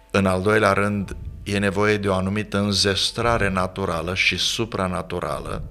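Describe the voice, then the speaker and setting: Faint music plays in the background as the voice holds monotone, flat intonation at a moderate pace, its loudness very even. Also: man, fairly low pitch for a man. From Romania, Galați (south-east); Romania. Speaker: pastor and author; pastor. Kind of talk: interview on leadership. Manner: formal. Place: studio. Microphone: studio mic.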